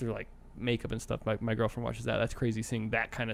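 A man with an American accent speaks in a flat monotone with vocal fry. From Arizona. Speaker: graphic designer. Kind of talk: casual chat.

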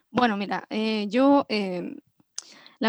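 A woman is speaking. The sound is dry and close with no echo. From Chile, Villa Alemana, Valparaíso region. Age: 30s. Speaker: music producer. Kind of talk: interview. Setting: online call.

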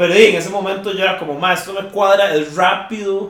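With noticeable background noise and audible room echo, a man speaks in a high voice. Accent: Costa Rican. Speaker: metal band vocalist. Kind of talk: casual chat. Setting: at a friend's home.

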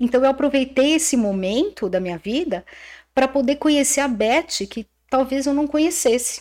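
High-pitched female voice, intonation lively, pace fairly slow. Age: 60s. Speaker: aesthetician and businesswoman. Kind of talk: casual chat.

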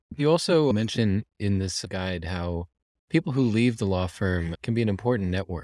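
Dark and mellow in tone, a man talks at a fairly quick pace. The recording is very clean and silent, dry and close with no echo. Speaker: podcast host. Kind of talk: interview.

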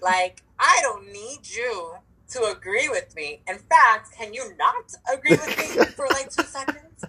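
A woman speaks in a high pitch with very wide pitch swings and big swings in loudness, her voice raised and projected. Her tone is animated, the pace fairly slow, with noticeable background noise behind her. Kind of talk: casual chat. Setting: phone or video call. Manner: hyper, animated.

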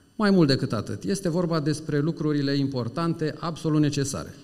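A man's fairly high voice is heard with audible room echo. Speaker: HR director. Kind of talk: public talk. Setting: stage with audience.

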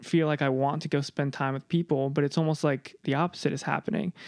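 A plain, everyday voice from a man, fairly quick with fairly even intonation, dry and close with no echo, on a very clean recording with a silent background. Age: 20s. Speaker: podcast editor, guest interviewer. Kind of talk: casual interview conversation with father.

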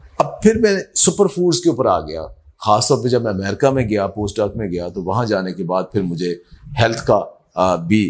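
This man has a plain, everyday voice at a fairly low pitch. His intonation is lively. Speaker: agriculture professor. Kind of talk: interview.

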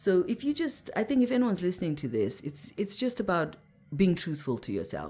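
A woman speaks at a fairly quick pace, her pitch swinging very widely. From Zimbabwe. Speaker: mindset mentor and meditation teacher. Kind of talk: interview conversation. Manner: halting, frequent restarts.

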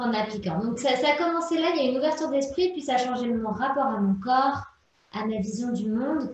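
With audible room echo, a woman speaks at a fairly quick pace in a high pitch with ordinary pitch variation. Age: 20s. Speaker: entrepreneur and menstrual cycle coach. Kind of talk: interview.

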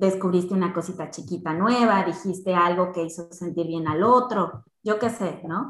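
A woman with a normal speaking voice, medium pitch, ordinary pitch variation and a fairly slow pace. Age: 30s. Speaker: insurance and investment specialist. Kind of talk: casual interview chat.

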